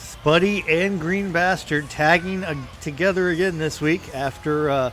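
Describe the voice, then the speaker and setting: Over music in the background, a man speaks at a fairly slow pace with fairly even intonation. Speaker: wrestling commentator. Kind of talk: live commentary. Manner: halting, many fillers.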